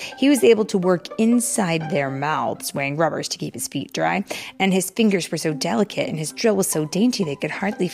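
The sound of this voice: This unforced reading voice moves with lively intonation.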